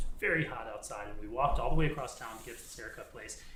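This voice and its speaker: A man's voice with ordinary pitch variation, amid noticeable background noise and audible room echo. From US South. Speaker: synagogue community member. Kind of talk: casual chat. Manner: animated.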